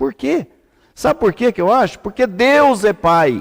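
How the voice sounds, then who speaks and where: A man speaks at a very slow pace with very wide pitch swings. The sound is dry and close with no echo, in a very clean recording with a silent background. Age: 70s. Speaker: rabbi. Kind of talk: religious teaching. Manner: seated while teaching.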